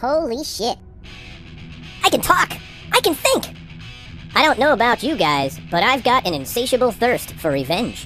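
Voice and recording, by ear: A female-sounding, cartoonish character voice sits high in pitch. It moves at a moderate pace over clear background music.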